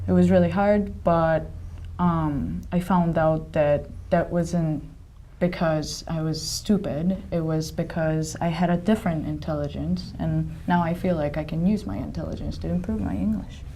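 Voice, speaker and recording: Audible echo fills the room around the speaker. She, a woman, proceeds at a moderate pace. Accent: Japanese. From Japan. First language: Japanese. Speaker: staff member of English learning site. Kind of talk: casual chat.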